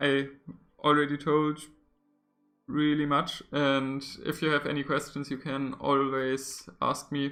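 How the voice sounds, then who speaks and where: Very slowly and quietly, a man speaks at a medium pitch in a bright, sharp, monotone voice on a very clean recording with a silent background. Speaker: papercraft puzzle builder streaming. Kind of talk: live stream tutorial chat. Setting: live stream.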